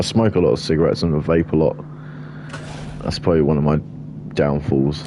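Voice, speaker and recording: Over noticeable background noise, the voice moves at a very fast pace broken by long, frequent pauses, with very even loudness and ordinary pitch variation. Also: man, very deep, low pitch for a man. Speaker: game streamer. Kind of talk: live game commentary. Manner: casual, rambling.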